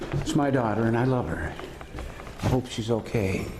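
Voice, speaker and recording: At a fairly slow pace, a man talks through noticeable background noise. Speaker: vlogger. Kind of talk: casual vlog talk. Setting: outdoors. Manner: loud; halting.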